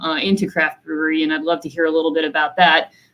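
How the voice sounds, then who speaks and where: A normal speaking voice from a woman, fairly low-pitched, with fairly even intonation. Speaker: company executive moderating panel. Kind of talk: virtual panel discussion. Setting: video call.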